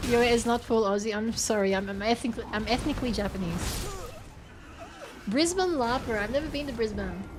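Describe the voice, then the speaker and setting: A woman with a fairly high pitch talks at a fairly quick pace with lively intonation, over music in the background and with audible room echo. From Australia. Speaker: streamer. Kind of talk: casual chat. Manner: stammering, repeats words.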